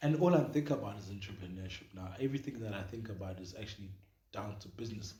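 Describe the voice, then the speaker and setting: A man talks very fast in a fairly low pitch with a dark, mellow tone, big swings in loudness and audible room echo. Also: ordinary pitch variation. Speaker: podcast co-host. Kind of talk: casual chat.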